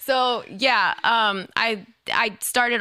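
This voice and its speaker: A woman with an American accent has a bright, sharp tone and an animated delivery. The recording is very clean, with a silent background. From US Midwest, Chicago area (Illinois). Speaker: event operations manager. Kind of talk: casual podcast interview.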